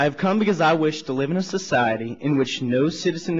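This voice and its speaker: A man with an American accent talks at a very fast pace. His pitch varies in an ordinary way. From US Deep South. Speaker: student activist. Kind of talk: public testimony at a council hearing. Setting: council hearing room, microphone. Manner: formal.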